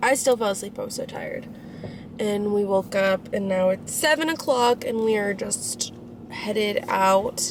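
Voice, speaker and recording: A woman speaks at a moderate pace with an American accent, and there is noticeable background noise. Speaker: vlogger. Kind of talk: casual vlog. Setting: indoors in new apartment. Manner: animated; hushed.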